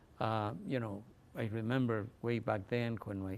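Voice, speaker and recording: A man speaks with a Spanish accent. His pitch sits in the middle range. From Mexico (Mexico City). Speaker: author. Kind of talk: interview. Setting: library talk with audience. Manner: halting, frequent repetitions.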